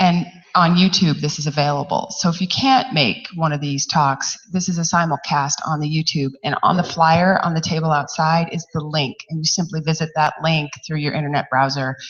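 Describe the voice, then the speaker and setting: Over noticeable background noise, a woman with a very deep, low pitch talks at a moderate pace with hardly any pauses and ordinary pitch variation. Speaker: university outreach organizer. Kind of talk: event announcements.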